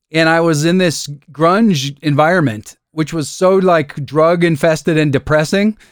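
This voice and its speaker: This man has an ordinary speaking voice with an American accent, pitched fairly high with ordinary pitch variation. He talks at a fairly slow pace. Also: very clean recording, silent background. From Michigan's Upper Peninsula. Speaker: songwriter. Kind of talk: casual interview.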